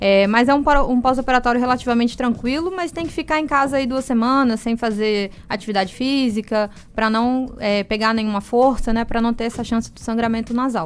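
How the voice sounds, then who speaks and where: A woman with a high pitch and ordinary pitch variation talks at a fairly quick pace with hardly any pauses. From Brazil, moved around as military child. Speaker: ear, nose and throat doctor. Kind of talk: radio interview. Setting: radio studio. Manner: explanatory, calm.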